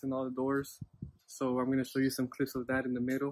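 The man's delivery has a monotone, flat intonation. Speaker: farm vlogger. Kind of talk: casual vlog chat. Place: farm machine. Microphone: earbuds.

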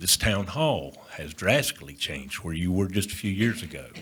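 Lively intonation runs through the speech. It comes in a Southern US accent. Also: man. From Union County, North Carolina. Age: 60s. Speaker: developer. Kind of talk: presentation to board. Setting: town planning board meeting.

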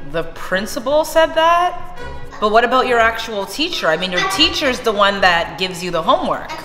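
A woman at a moderate pace with clear music in the background. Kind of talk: scripted family skit dialogue. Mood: suspicious, scolding. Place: kitchen. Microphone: camera far.

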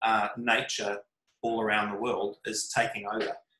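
Against a quiet background with audible room echo, a voice with a bright, sharp tone speaks at a moderate pace. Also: man. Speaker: remote guest, art project creator. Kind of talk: interview answer.

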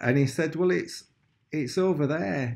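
A man at a moderate pace with ordinary pitch variation against a quiet background. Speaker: vlogger. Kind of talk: casual vlog chat. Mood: upbeat, grateful. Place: home room. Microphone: phone near.

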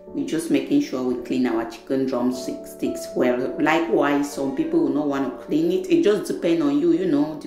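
Moderate-paced speech with hardly any pauses over clear music in the background. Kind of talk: tutorial. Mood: warm, friendly. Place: kitchen.

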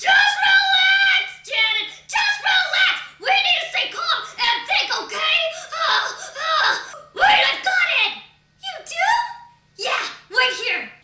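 A cartoonish character voice shouts at an extremely high pitch and a very slow pace, with a slight echo. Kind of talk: comedy sketch voices. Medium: puppet.

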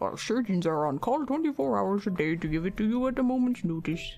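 Booming and at a middle pitch, a put-on character voice moves at a fairly quick pace. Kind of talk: announcer-like. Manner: commanding, booming.

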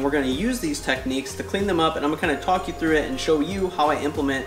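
A man at a very fast pace, with clear music in the background. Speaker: DIY host. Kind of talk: tutorial. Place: garage. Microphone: camera far.

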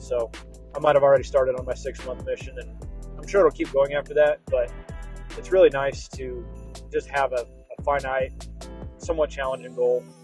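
Faint background music, a man's fairly quick delivery, and dry sound with no echo. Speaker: road trip vlogger. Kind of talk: casual vlog chat. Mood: reflective, personal. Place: car. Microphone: lapel.

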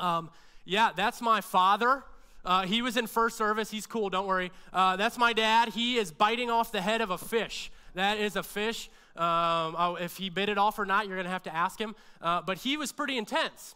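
A man speaks in a raised, projected voice with a bright, sharp tone over a quiet background. His pace is moderate and his pitch variation ordinary. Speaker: pastor preaching. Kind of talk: sermon. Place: church. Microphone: headset.

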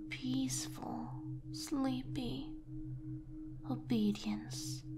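Soft-spoken delivery amid noticeable background noise. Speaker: voice actor performing a script. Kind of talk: soft hypnotic roleplay narration. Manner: soft, slow hypnotic ASMR voice.

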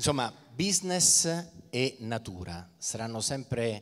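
A man's voice with very wide pitch swings. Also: quiet background. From Italy. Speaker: event presenter; event host, interviewer. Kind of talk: stage interview. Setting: stage with audience. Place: stage. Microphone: handheld.

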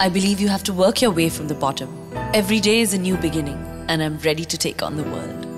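Fairly quick speech with a slight Hindi accent, music playing in the background. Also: woman. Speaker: actress. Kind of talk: TV commercial read. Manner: motivational.

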